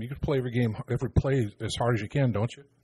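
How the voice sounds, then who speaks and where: A man speaks at a very fast pace in a dark, mellow tone that is somewhat breathy. The sound is dry and close with no echo, and his intonation stays fairly even. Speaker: radio analyst, former player. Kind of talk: analysis discussion.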